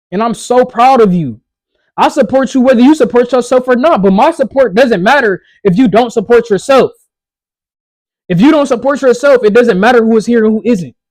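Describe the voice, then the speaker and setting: A loud man with an extremely high pitch speaks in a passionate tone at a fairly quick pace, using ordinary pitch variation. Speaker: motivational vlogger. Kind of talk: motivational talk.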